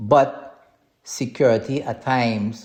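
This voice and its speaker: A man with a strong Trinidadian accent, set against a quiet background. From Trinidad and Tobago. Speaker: podcast host, cybersecurity consultant. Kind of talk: podcast monologue on business advice. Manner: hesitant, repeats words.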